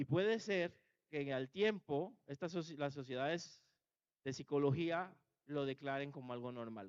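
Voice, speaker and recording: At a moderate pace, a man with a fairly high pitch speaks with ordinary pitch variation, the sound dry and close with no echo. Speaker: pastor. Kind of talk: sermon. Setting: church.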